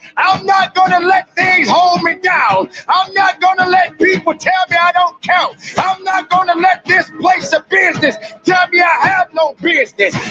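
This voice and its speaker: A shouting man at an extremely high pitch, animated and passionate, with very even loudness, a dry, close sound with no echo, and music in the background. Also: moderate pace. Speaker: motivational speaker. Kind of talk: motivational speech. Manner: loud, shouting; animated, passionate.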